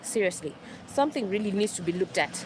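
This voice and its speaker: A woman talks in a passionate tone at a fairly high pitch, her intonation lively. Noticeable background noise runs underneath. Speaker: livestreamer. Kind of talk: live stream monologue. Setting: outdoors, walking. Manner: raised pitch.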